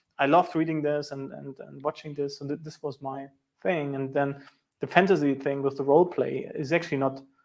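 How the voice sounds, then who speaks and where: A man with a German accent speaks at a fairly quick pace in a fairly high voice. His intonation stays fairly even while his loudness swings widely. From East Germany. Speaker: sales engineer and show host. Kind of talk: casual interview chat. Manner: halting.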